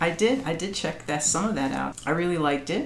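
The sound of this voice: A woman with a low pitch and vocal fry talks at a fairly quick pace with lively intonation.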